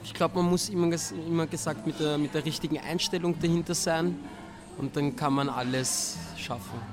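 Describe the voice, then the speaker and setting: Pitched fairly high, a man talks at a moderate pace with lively intonation and long, frequent pauses. Noticeable background noise runs under his voice. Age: 20s. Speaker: dancer and dance teacher. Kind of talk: interview.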